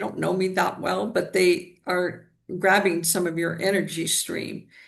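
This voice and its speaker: With vocal fry, a woman speaks at a medium pitch. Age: 70s. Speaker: energy healer. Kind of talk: interview.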